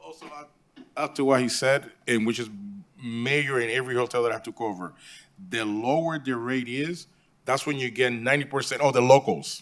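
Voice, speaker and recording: Speech in a Puerto Rican accent moves at a fairly quick pace with ordinary pitch variation and big swings in loudness. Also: man, medium pitch for a man. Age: 50s. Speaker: hotel property manager. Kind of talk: public meeting testimony.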